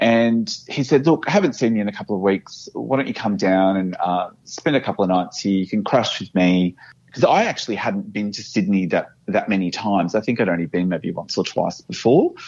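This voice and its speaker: A fairly low-pitched man with an Australian accent, fairly quick pace and lively intonation. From Australia, Brisbane. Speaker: office worker sharing paranormal experiences. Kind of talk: personal storytelling interview. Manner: halting.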